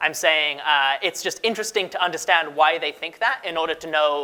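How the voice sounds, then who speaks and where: Pitched fairly high, a man speaks with ordinary pitch variation. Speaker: conference speaker, research manager. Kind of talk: conference talk. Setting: stage with audience. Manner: fast; casual.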